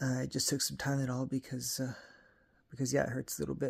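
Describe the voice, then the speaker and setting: In a very clean recording with a silent background, a somewhat breathy man speaks at a moderate pace and medium pitch with monotone, flat intonation. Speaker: video blogger. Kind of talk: casual vlog. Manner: halting, many fillers.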